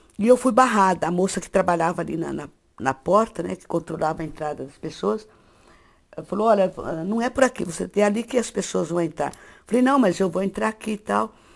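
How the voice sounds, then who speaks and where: A woman at medium pitch talks at a fairly quick pace with lively intonation and vocal fry. Her loudness swings widely. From interior of São Paulo state, Brazil. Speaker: writer. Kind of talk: interview testimony. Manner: halting, with repetitions.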